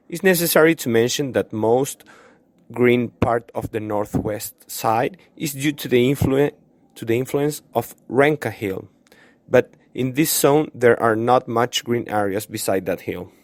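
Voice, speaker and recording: With a Chilean accent, a man speaks fairly slowly at a medium pitch with ordinary pitch variation, the sound dry and close with no echo. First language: Spanish. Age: 20s. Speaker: student vlogger. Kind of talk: video tour narration. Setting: outdoors in a park.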